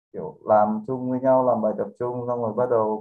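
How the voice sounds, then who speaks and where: A normal speaking voice from a man, moderate in pace and medium in pitch, with fairly even intonation. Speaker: podcast guest. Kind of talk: casual chat.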